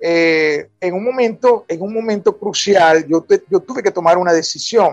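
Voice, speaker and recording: Over music in the background, a man with a high pitch and ordinary pitch variation talks at a fairly slow pace. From Venezuela, Falcón (Paraguaná). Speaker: writer and university professor. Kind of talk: radio interview.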